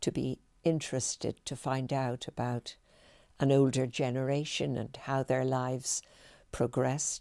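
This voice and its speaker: At a fairly slow pace, a woman speaks in a very deep, low pitch with a dark, mellow tone, the sound dry and close with no echo and the recording very clean against a silent background. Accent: Dublin. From Ireland, Dublin (Rathfarnham). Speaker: retired teacher and heritage guide. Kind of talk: oral history interview. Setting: filmed interview.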